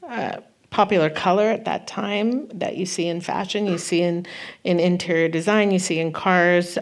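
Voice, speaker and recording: A woman with an American accent and a fairly low pitch, at a moderate pace. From Northern California (Santa Cruz). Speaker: costume designer. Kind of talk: live onstage interview. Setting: stage with audience.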